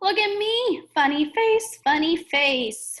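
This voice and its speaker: A woman does a squeaky, put-on character voice at an extremely high pitch. Her pitch swings very widely while her pace stays fairly slow. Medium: read story. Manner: eager, friendly.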